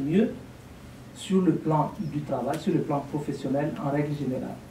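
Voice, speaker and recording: In an African accent, a man speaks at a fairly slow pace with a fairly high pitch, and audible room echo surrounds him. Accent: African francophone accent, unchanged. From Burkina Faso. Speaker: lecturer, language teacher. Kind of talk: lecture Q&A. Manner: articulate.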